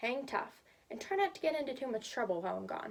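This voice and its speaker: This is a gruff, put-on character voice. It moves at a very fast pace. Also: woman. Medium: read story. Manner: gruff, terse.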